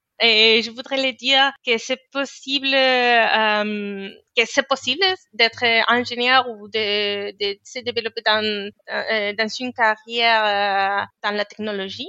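Her intonation fairly even, a woman speaks very slowly. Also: fairly high pitch for a woman. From Spain. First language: Spanish (speaking French). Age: 30s. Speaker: engineer. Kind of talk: interview. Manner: halting, many hesitations and repetitions.

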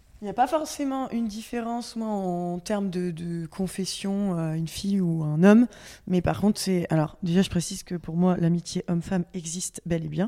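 Delivered at a moderate pace, this speech has a dark, mellow tone and ordinary pitch variation. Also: woman, medium pitch for a woman. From Normandy, France. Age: 30s. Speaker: guest. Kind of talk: casual chat.

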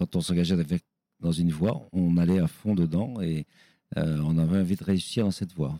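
This man talks with a very deep, low pitch and ordinary pitch variation, leaving long, frequent pauses. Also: moderate pace. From western France, Nantes. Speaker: chef and restaurant owner. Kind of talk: interview. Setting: in his restaurant.

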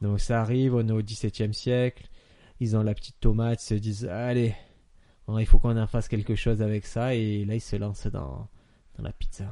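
At a moderate pace, a man speaks with a medium pitch and a dark, mellow tone, keeping his intonation fairly even and pausing long and often. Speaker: podcast co-host. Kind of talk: casual chat.

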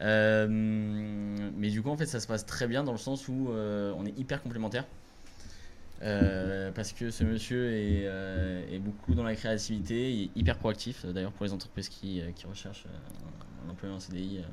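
In a southern French accent, a man speaks at a fairly low pitch and a fairly slow pace, with ordinary pitch variation and audible room echo. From Toulouse, southern France. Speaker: clothing brand co-founder. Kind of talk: casual interview. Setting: livestream at home with camera.

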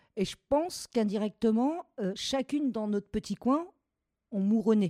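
Dark and mellow in tone, a woman's voice comes through dry and close with no echo on a very clean recording with a silent background. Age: 40s. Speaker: home care worker and strike leader. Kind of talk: testimony. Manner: hesitant, with fillers.

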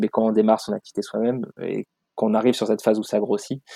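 Talking very fast with fairly even intonation, a man has a medium-pitched, dark, mellow voice, captured with a dry, close sound and no echo. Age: 30s. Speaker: supply chain consultant and social entrepreneur. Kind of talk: interview conversation. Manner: hesitant, many fillers.

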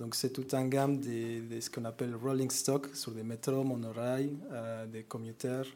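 In a Mexican accent, a man with a dark, mellow tone talks at a fairly slow pace in a monotone, flat intonation, with audible room echo. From Mexico. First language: Spanish (speaking French). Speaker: corporate climate manager. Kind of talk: conference presentation. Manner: hesitant, many fillers.

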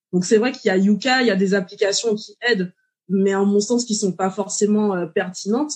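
Somewhat breathy, a woman with a medium pitch talks at a fairly quick pace with fairly even intonation. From Martinique. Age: 30s. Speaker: dietitian. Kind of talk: interview.

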